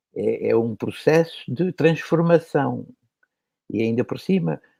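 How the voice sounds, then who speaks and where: A man's dark, mellow voice, fairly high-pitched with lively intonation, in a dry, close sound with no echo. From Portugal, Lisbon. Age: 80s+. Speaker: animator and author. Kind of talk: casual chat.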